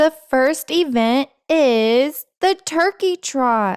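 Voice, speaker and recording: A woman puts on a character voice at a high pitch. She talks at a very slow pace. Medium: read story. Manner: loud, announcing.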